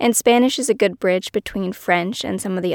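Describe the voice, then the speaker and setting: A woman speaks at medium pitch with ordinary pitch variation, in a plain, everyday voice. The recording is very clean and dry, close with no echo and a silent background. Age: 30s. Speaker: podcast host and author. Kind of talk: solo personal monologue.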